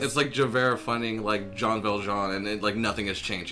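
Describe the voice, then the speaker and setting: Music sounds in the background as a man with a fairly low pitch talks at a fairly quick pace with fairly even intonation. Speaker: convention artist. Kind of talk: casual comedy podcast banter.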